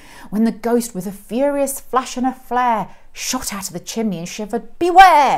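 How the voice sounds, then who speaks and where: A high-pitched woman's voice at a moderate pace over a quiet background. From England. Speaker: school head of English teacher. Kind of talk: poetry reading. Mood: expressive, playful storytelling. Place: classroom.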